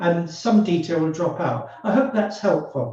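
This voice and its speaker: Lively in intonation, a man talks at a fairly slow pace amid audible room echo. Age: 70s. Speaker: forensic psychologist. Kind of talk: webinar discussion.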